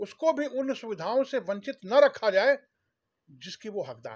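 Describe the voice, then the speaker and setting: In a dry, close recording with no echo and a quiet background, a man speaks with a Bihari accent and lively intonation. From Bhojpuri-speaking region of India. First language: Bhojpuri (speaking Hindi). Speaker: Bhojpuri language activist, former government official. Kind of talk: interview. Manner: formal.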